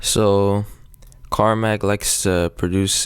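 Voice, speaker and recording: A man speaks with music in the background. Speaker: music producer. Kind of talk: tutorial. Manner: casual, halting with fillers.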